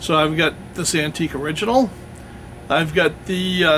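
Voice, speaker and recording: This man has an American accent and a high pitch. He speaks at a fairly slow pace with fairly even intonation, over noticeable background noise. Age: 60s. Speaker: YouTuber reviewing historical firearms and swords. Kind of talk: channel update talk to camera. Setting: outdoors in woods. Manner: casual, with many fillers.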